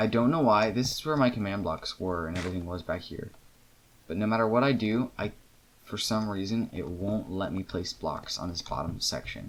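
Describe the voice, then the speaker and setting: Ordinary pitch variation runs through this man's fairly low voice. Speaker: gaming video creator. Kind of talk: gameplay commentary. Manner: fast.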